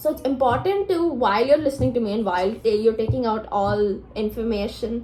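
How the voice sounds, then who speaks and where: The speaker talks at a moderate pace with lively intonation. Noticeable background noise runs underneath. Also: woman. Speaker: law student vlogger. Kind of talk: casual vlog talk.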